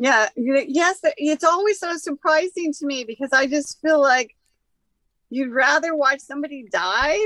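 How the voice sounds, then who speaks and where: A raised, projected voice with a bright, sharp tone and lively intonation, at a fairly slow pace, in a dry, close sound with no echo. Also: woman. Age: 60s. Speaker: cannabis expert and healer. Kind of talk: casual chat.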